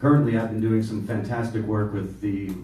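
A man speaks at a moderate pace with audible room echo. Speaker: political candidate. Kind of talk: candidates' forum. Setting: stage with audience. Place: meeting room. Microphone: camera far.

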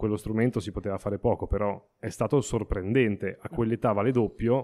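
A dark, mellow tone at a fairly quick pace, fairly even in intonation, on a very clean recording with a silent background. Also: man. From Emilia-Romagna, Italy. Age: 30s. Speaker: astrophotographer. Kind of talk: interview. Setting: studio. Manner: halting.

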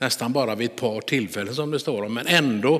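A man talks in an ordinary speaking voice at a medium pitch, with ordinary pitch variation. The background is quiet. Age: 60s. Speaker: pastor; preacher. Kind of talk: sermon. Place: church. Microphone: headset.

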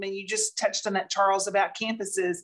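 Moderate-paced speech from a woman in a quiet setting. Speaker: online show co-host. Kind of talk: interview show hosting. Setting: video call. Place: home room. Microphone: webcam.

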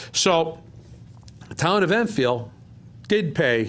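Intonation lively, a man speaks with a high pitch. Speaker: town councilor. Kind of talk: council meeting discussion. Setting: council chambers. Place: meeting room. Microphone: podium.

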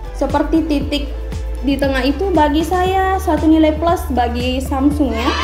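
A woman speaks in a room with audible echo while music plays clearly in the background. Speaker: phone reviewer. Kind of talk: product review talk. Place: home room. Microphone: phone near.

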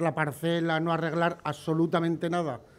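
At a moderate pace, a male voice talks. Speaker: candidate. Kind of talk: campaign speech. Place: street. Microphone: podium.

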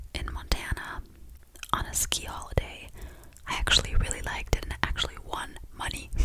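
Whispering with long, frequent pauses and big swings in loudness, a woman comes through over noticeable background noise. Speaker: content creator. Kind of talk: casual chat, reading Christmas facts. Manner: intimate whisper, storytelling. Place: home room. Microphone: studio mic.

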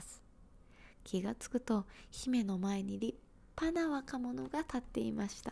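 A woman's somewhat breathy voice with very wide pitch swings at a fairly slow pace. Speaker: storyteller. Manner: soft whispered storytelling close to mic. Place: home room. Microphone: handheld.

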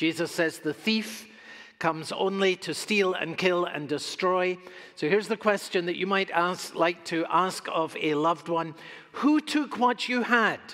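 The background stays quiet. Delivery is fairly slow. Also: man. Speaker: pastor. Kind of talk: sermon. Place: church.

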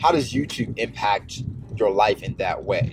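Faint music plays behind a man whose speech has ordinary pitch variation and a dry sound with no echo. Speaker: YouTuber. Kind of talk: casual vlog chat. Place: car.

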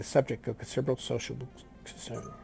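A man speaks at a medium pitch and a fairly quick pace. Music plays in the background. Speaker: video game streamer. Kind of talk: reading on-screen news text aloud.

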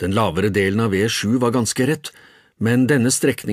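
In a natural reading voice, the pitch rises and falls an ordinary amount.

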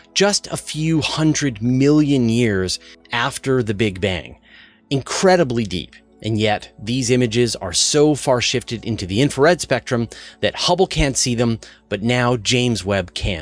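A man speaks at a fairly slow pace over faint music in the background. The sound is dry, with no echo. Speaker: science news host. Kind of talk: news commentary. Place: studio. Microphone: studio mic.

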